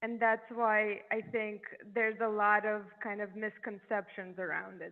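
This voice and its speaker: A woman with a European accent speaks at a fairly slow pace. Her fairly high voice is monotone and flat. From Eastern Europe. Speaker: neurologist. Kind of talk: podcast interview.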